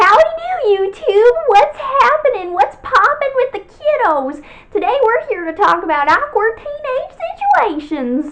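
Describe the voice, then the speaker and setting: A woman does a put-on character voice in a Southern US accent, raised and projected at an extremely high pitch. She moves at a moderate pace with very wide pitch swings and hardly any pauses. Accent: southern American. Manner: upbeat, folksy.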